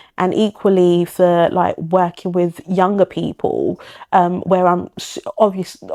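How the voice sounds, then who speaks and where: Delivered at a fairly slow pace, the speech has a monotone, flat intonation and a dry, close sound with no echo. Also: woman, medium pitch for a woman. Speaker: clinical and forensic psychologist. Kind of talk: interview conversation. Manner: calm, soft-spoken. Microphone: quiet on the microphone.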